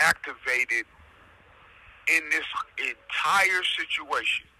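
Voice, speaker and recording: A man's very slow speech is accompanied by noticeable background noise. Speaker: defendant sharing his own case. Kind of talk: casual commentary. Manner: loud; animated.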